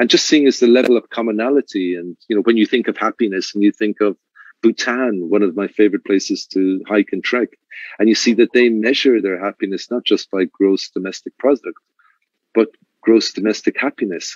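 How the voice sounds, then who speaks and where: In an Irish accent, a man talks at a fairly quick pace with medium pitch and fairly even intonation, the sound dry and close with no echo. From Ireland. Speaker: luxury resort manager. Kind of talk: interview. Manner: halting, with repeated words.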